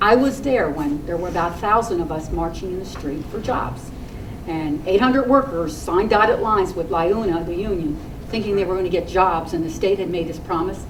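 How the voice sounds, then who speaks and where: Audible room echo and noticeable background noise accompany speech delivered at a fairly quick pace. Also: woman. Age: 60s. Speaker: community activist. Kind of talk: rally speech. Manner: animated.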